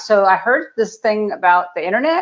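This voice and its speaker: A woman speaks against a quiet background. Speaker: video marketing coach for health practitioners. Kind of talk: podcast interview. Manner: fast; animated.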